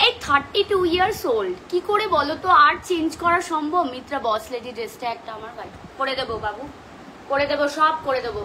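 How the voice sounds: A woman does a hoarse, put-on character voice pitched high, at a moderate pace. Light background noise can be heard.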